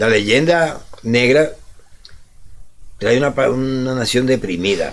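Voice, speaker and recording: A man's medium-pitched voice at a very slow pace, with ordinary pitch variation and audible room echo. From Dominican Republic. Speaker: radio co-host. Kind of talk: casual chat.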